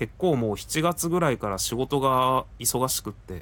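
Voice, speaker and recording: An ordinary speaking voice moves at a fairly slow pace. Its intonation is lively. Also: man. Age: 40s. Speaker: podcaster. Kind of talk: casual personal update monologue. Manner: conversational, rambling with fillers.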